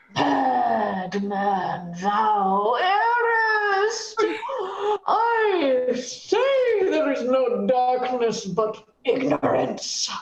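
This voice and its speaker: A female-sounding put-on character voice comes through at a high pitch and a very slow pace. There is slight echo. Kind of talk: Shakespearean stage acting. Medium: stage play. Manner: playful, teasing.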